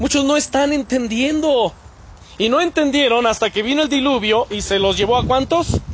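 With a Mexican accent, a man talks at a fairly slow pace in an animated tone, his pitch extremely high with ordinary variation. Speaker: pastor. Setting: church.

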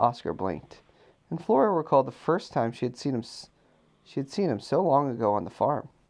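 Using a medium pitch with vocal fry, a man talks at a fairly quick pace, with long, frequent pauses and very wide pitch swings. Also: quiet background. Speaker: parent reading bedtime story to child. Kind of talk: reading aloud.

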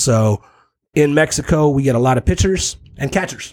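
Somewhat breathy, a man talks in a medium pitch. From San Diego South Bay / Tijuana. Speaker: baseball scout. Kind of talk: casual chat.

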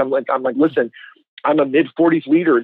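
A man uses a normal speaking voice, keeping a moderate pace and ordinary pitch variation. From Canada. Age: 40s. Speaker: church consultant and author. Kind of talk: interview.

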